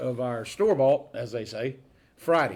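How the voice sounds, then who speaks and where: This man has a Southern US accent. He speaks at a moderate pace. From North Florida. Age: 60s. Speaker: food pantry volunteer. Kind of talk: casual interview.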